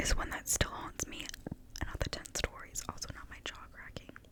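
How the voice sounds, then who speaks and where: Whispered words come at a fairly quick pace against noticeable background noise. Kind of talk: ASMR reading of internet stories.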